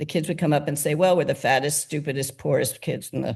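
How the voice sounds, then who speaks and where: A woman talks very fast in a very deep, low pitch with vocal fry. The background is quiet. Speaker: nonprofit founder. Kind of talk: interview.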